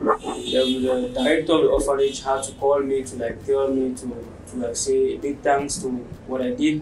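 Noticeable background noise around a man speaking at a moderate pace. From Cameroon, Limbe (anglophone southwest). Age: 20s. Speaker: barber. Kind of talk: interview monologue. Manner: hesitant, many fillers. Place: home room.

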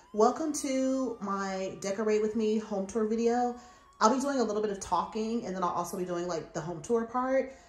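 A woman talks at a fairly quick pace. Audible room echo surrounds her voice. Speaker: home decor vlogger. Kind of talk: casual vlog chat. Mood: upbeat, playful. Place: home room. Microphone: phone near.

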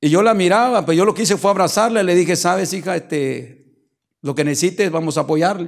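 Against a quiet background, a man talks at a fairly quick pace, high in pitch, with ordinary pitch variation. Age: 50s. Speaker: pastor. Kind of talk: sermon. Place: church. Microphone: handheld.

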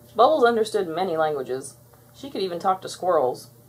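A woman speaks at a fairly quick pace in a fairly low pitch, with a slightly husky edge and big pitch swings.

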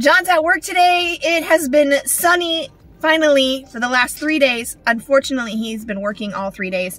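A moderate pace in a dry sound with no echo. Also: woman, high pitch for a woman. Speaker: family travel vlogger. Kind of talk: casual vlog chat. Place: car. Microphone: phone near.

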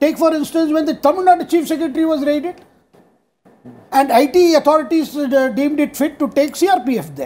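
A man with an Indian accent talks at a moderate pace in an extremely high pitch, his intonation fairly even and his tone dark and mellow. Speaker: journalist. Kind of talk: TV panel debate. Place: studio. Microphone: lapel.

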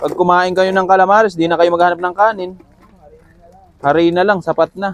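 A man talks at a fairly quick pace in a high pitch, with long, frequent pauses. Noticeable background noise runs under his voice. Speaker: street food vendor and vlogger. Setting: outdoors at a roadside stall near a school. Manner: fast, loud and upbeat, rattling off orders and prices, cheerful banter with customers.

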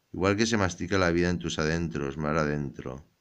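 In a quiet background, a man's voice sounds very deep and low. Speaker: ASMR poetry reader. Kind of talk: poetry reading, ASMR-style, intimate and sensual. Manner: slow, soft-spoken, hushed and unhurried.

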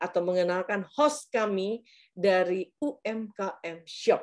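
Against a quiet background, a woman is talking. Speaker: webinar moderator. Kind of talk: webinar moderation. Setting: video call. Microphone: video call.

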